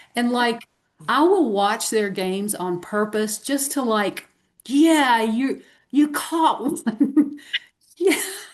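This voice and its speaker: A woman's high-pitched voice with a Southern US accent, very slow pace and lively intonation. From US South. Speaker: podcast co-host. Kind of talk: casual chat. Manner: animated.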